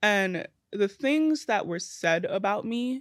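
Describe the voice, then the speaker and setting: On a very clean recording with a silent background, a woman speaks in a New York accent. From Brooklyn, New York. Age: 20s. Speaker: social media creator. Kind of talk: casual chat. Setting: studio.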